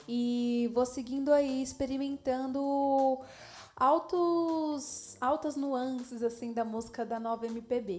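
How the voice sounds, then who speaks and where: Here is a woman with a high pitch. She talks at a very slow pace. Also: fairly even intonation. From Diadema, São Paulo, Brazil. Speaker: singer. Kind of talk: casual interview. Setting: kitchen show set.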